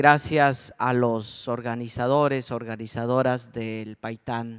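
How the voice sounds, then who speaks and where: Keeping his intonation fairly even, a man speaks at medium pitch and a very slow pace. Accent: Chiapas. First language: Tzotzil (speaking Spanish). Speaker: speaker at a culture festival. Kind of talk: conference talk.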